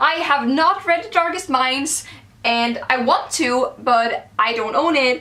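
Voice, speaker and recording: Over noticeable background noise, a woman with a Swedish accent uses a raised, projected voice at a high pitch with ordinary pitch variation. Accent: Swedish-accented English today. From Sweden. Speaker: book vlogger. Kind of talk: casual vlog, book haul.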